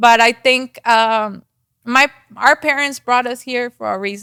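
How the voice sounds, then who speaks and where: A fairly slow voice with a strong Mexican accent, bright and sharp in tone, keeps its intonation fairly even. The sound is dry and close, with no echo. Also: woman, high pitch for a woman. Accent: thick Mexican Spanish. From Mexico. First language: Spanish. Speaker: real estate agent. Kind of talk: podcast interview. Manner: hesitant, many fillers.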